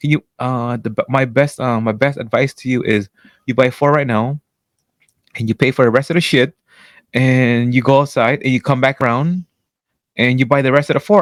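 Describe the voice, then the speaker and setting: The speech moves at a moderate pace with long, frequent pauses, in a very clean recording with a silent background and a dry, close sound with no echo. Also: man. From French Canadian. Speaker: podcast co-host. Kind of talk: casual chat. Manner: loud; animated.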